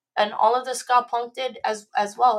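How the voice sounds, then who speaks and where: In a very clean recording with a silent background, a woman with an American accent speaks at a moderate pace in a flat, monotone intonation. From West Palm Beach, Florida. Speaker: musician. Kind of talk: casual chat.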